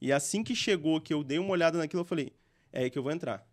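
High male voice with ordinary pitch variation over a quiet background. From interior of Espírito Santo, Brazil. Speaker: gaming entrepreneur; podcast guest. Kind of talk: interview. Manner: casual, slangy. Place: studio. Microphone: studio mic.

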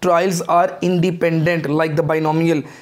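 A man speaks at a moderate pace in a high pitch, his intonation monotone and flat. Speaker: teacher. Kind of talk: lecture. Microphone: lapel.

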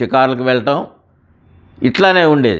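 An unremarkable speaking voice belongs to this man. His pitch is medium with ordinary pitch variation. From Guntur, Andhra Pradesh, India. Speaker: preacher giving testimony. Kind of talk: testimony.

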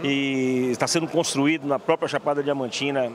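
This man has a normal speaking voice with a fairly high pitch and ordinary pitch variation. The sound is dry with no echo, over light background noise. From Bahia, Brazil. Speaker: agricultural cooperative vice-president. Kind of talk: interview. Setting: event venue. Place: hall. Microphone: handheld.

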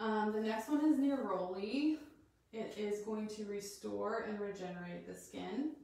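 A woman with an American accent talks at a fairly slow pace in a fairly high pitch with ordinary pitch variation. There is strong room echo. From Colorado. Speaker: doula and essential oils teacher; essential oils teacher. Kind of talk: live-streamed class. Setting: live video recorded in her bathroom. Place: bathroom. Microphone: possible room echo; camera far.

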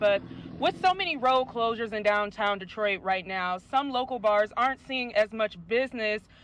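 The speech comes at a fairly quick pace, with light background noise and a dry sound with no echo. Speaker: radio field reporter. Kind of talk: news report.

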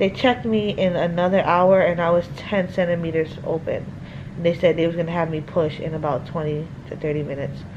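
Against noticeable background noise, a woman with a fairly low pitch talks at a fairly quick pace with fairly even intonation. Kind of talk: casual vlog chat. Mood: relieved, recounting experience. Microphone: phone near.

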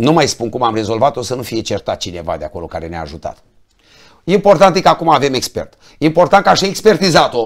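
A man's fairly high voice with very wide pitch swings, big swings in loudness and vocal fry, at a very fast pace over a quiet background. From Romania, Roman (Neamț county, Moldavia); Romania. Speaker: politician, member of parliament; politician. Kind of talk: political talk show interview. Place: studio.

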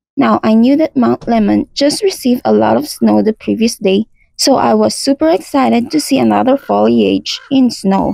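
A woman at a moderate pace, dry sound with no echo, music in the background. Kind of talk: travel vlog voice-over narration.

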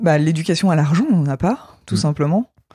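Her dark, mellow tone sitting very deep and low in pitch, a woman speaks with lively intonation in a dry, close sound with no echo. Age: 30s. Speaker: IT worker with a doctorate. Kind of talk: interview.

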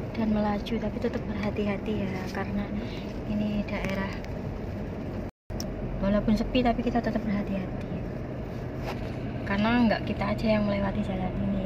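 A woman talks at a fairly quick pace. Loud background noise surrounds her. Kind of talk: casual vlog chat. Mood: relaxed, cheerful. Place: car. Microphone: phone near.

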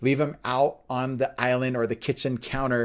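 There's a male speaker. Behind him, all is quiet. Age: 40s. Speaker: pastor and fitness instructor; pastor, fitness instructor. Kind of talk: faith and fitness talk.

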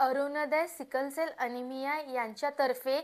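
Against a silent background in a very clean recording, a woman speaks at a high pitch with flat, monotone intonation. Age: 20s. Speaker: sickle cell patient, civil engineer. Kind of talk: testimony.

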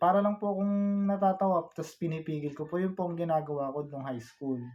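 A man is speaking. His pace is fairly quick. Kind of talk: personal life story told to camera, vlog-style confessional about illness. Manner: soft-spoken, halting, earnest and polite with frequent 'po'.

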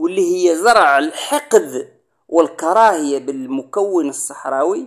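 The speaker is a man. He talks with a Moroccan accent. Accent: Moroccan Darija. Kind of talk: political commentary monologue. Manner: emphatic.

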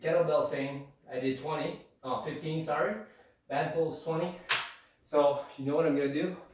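A man talks at a fairly quick pace. Noticeable background noise and audible room echo surround his voice. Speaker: fitness vlogger. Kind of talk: casual workout tutorial. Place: home room. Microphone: camera far.

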